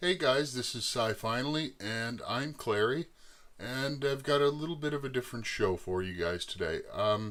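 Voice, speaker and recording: Speaking at a moderate pace, a man uses lively intonation in a medium pitch. He has an Eastern Canadian accent. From Eastern Canada. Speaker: YouTuber, machinist. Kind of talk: personal life story to camera. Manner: halting, many filler words.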